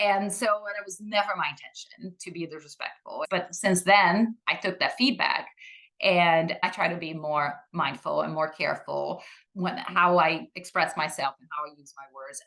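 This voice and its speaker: Her tone is bright and sharp, and this woman's pitch sits fairly low. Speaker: association executive guest. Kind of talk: casual interview. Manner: loud.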